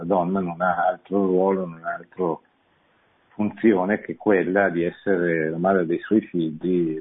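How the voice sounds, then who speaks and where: A man's very deep, low voice comes at a moderate pace. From Italy, Milan. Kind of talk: radio lecture with call-ins. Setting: studio. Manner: halting, with frequent repetitions.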